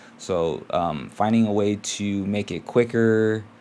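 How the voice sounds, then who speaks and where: A quiet man's voice, fairly low in pitch, with fairly even intonation. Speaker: teacher and vlogger. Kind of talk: casual vlog. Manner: quiet, keeping voice down; hesitant, many fillers.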